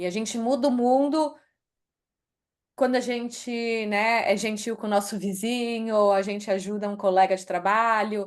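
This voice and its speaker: A woman with a Brazilian accent speaks at a fairly high pitch and a moderate pace, with fairly even intonation and a quiet background. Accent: Brazilian accent when speaking English. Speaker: author and HR executive. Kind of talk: interview.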